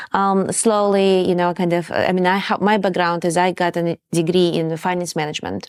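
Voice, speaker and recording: With monotone, flat intonation and very even loudness, a woman speaks at a moderate pace and fairly low pitch, with hardly any pauses. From Kazakhstan. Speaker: startup co-founder. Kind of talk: interview.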